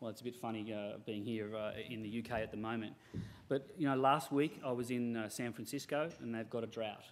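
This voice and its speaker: Speaking with an Australian accent, a man keeps a medium pitch and fairly even intonation. He goes at a fairly quick pace, with audible room echo. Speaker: software company representative. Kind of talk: conference presentation.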